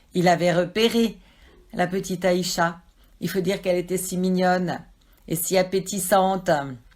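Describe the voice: Text read aloud in a plain way.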